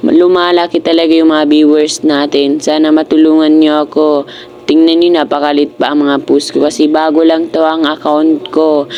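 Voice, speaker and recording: Moderate pace amid noticeable background noise. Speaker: vlogger. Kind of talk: casual vlog. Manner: loud; animated.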